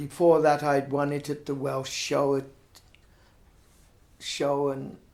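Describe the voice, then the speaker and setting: This man speaks at a very slow pace, leaving long, frequent pauses. His pitch is fairly high, and his intonation is monotone and flat. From Herefordshire, England. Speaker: retired blacksmith. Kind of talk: oral history interview answer.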